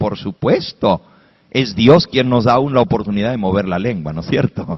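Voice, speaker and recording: In an animated tone, a man speaks at a fairly slow pace. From Spanish-speaking, raised in an English-speaking country. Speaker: pastor. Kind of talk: sermon.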